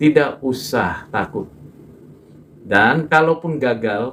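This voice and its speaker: A man with ordinary pitch variation. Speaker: preacher. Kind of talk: sermon.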